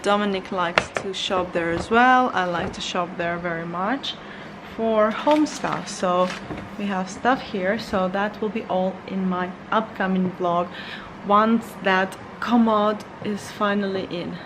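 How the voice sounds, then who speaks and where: Medium-pitched female voice amid noticeable background noise and audible room echo. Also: fairly even intonation, fairly slow pace. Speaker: lifestyle vlogger. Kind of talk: casual vlog talk. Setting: at home. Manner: quiet; halting.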